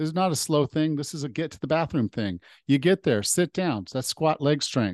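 In a dry, close recording with no echo, a man with an ordinary speaking voice talks at a fairly quick pace in a fairly high pitch, his intonation lively and his loudness swinging widely. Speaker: podcast host and personal trainer. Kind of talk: interview. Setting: video call.

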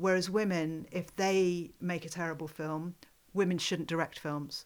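On a very clean recording with a silent background, a woman speaks. Her pitch is fairly low and her pace is moderate. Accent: British. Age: 50s. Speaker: podcast host and film festival director. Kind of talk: casual chat. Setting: in person in a home study.

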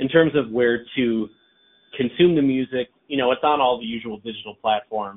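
At a fairly quick pace, a man with a normal speaking voice talks at medium pitch with ordinary pitch variation. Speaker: songwriter and vocalist. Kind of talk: interview answers, casual chat.

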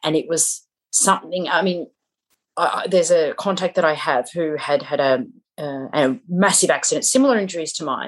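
A woman with a plain, everyday voice speaks at a fairly quick pace with lively intonation. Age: 40s. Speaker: public speaker and empowerment coach. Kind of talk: interview testimony.

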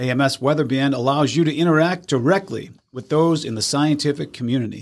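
A man with an American accent has an ordinary speaking voice at a fairly high pitch. He talks at a fairly quick pace in a very clean recording with a silent background. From Massachusetts, US. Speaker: weather podcast host. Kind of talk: weather report. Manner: brisk, clear, matter-of-fact forecast delivery; chatty, upbeat, quizzing co-host.

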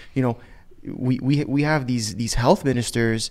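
This is a man with an unremarkable speaking voice. He talks at a medium pitch and a moderate pace. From Canada. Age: 20s. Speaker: podcast host. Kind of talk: casual chat.

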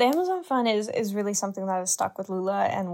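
Speech with a Canadian accent on a very clean recording with a silent background. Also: woman. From Canada. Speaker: university student. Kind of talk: podcast discussion.

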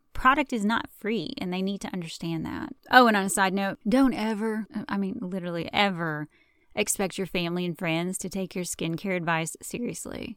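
In a very clean recording with a silent background, a woman speaks in an animated tone with a Southern US accent, medium pitch and ordinary pitch variation. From US South. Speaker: podcast host and esthetician. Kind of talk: casual profane rant. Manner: animated, sarcastic, laughing; mock-calm, slowed storyteller cadence breaking into wry asides.

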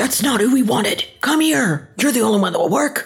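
This put-on character voice sits at a fairly high pitch and moves at a fairly quick pace. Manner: menacing.

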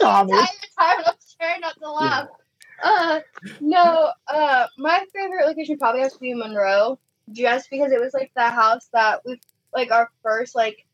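A woman with lively intonation in a dry, close sound with no echo. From Illinois, US Midwest. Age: 20s. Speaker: paranormal investigator.

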